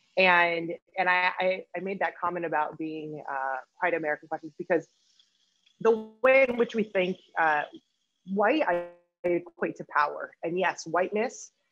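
Faint music plays behind a woman who speaks at a moderate pace and a fairly low pitch, with ordinary pitch variation, long, frequent pauses and a dry sound with no echo. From Peru, raised in Spain and US. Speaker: activist and researcher; panelist. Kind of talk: panel discussion. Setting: video call. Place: home room. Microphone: video call.

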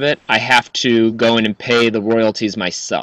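Against a quiet background, a man with an unremarkable speaking voice talks at a moderate pace and medium pitch, the sound dry with no echo. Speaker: musician. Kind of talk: casual chat. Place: home room. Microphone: studio mic.

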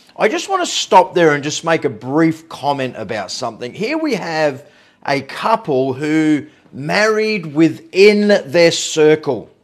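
Against a quiet background, a man with an Australian accent speaks at a fairly slow pace and fairly high pitch. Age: 50s. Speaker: pastor. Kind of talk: online evening devotional. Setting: livestream. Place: home room. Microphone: phone near.

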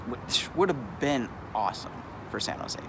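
A man's voice comes through dry with no echo amid loud background noise. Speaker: street vlogger. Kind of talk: casual vlog chat. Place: street. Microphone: phone near.

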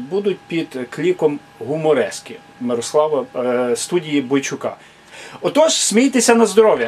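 There is light background noise as a man speaks at a moderate pace. His pitch swings very widely. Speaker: channel host introducing a humor performer. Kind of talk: casual vlog chat. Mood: warm, friendly. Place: home room. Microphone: phone near.

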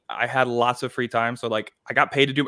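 A man speaking at a very fast pace over a quiet background. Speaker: author and YouTube creator. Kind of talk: casual interview. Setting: video call from home. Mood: relaxed, amused storytelling. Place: home room.

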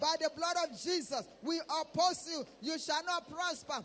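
A man speaks at an extremely high pitch with a bright, sharp tone. His pace is moderate and his pitch variation ordinary. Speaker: prayer leader. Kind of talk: fervent prayer. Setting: church. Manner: urgent, exhorting. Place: church. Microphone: handheld.

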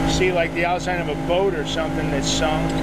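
A man speaks at a fairly slow pace. The sound is dry with no echo, and loud background noise is present. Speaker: solo boater vlogger. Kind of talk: casual vlog chat. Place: boat. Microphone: phone near.

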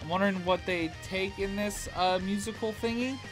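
Clear music plays behind the speaker. He is a man with a high voice. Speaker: reaction youtuber. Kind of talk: casual vlog chat. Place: home room.

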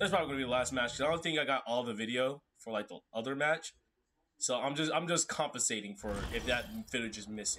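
A man talks at a very fast pace in an animated tone with ordinary pitch variation. Light background noise can be heard. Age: 18, just out of school. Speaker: gamer streamer. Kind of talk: gameplay commentary. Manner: animated, excitable reactions. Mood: frustrated, joking. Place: home room.

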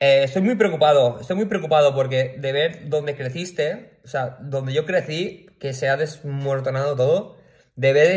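A man with a fairly high pitch sounds animated and somewhat breathy at a moderate pace. The background is quiet. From Valencia region, Spain (Picanya, L'Horta Sud). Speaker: video blogger. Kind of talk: personal rant to camera. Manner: animated, with frequent fillers and repetitions. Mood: worried, indignant, upset. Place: home room. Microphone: phone near.

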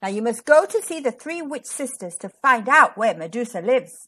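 A woman uses a put-on character voice that is fairly high-pitched, with a bright, sharp tone, a slightly husky edge and big pitch swings. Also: moderate pace.

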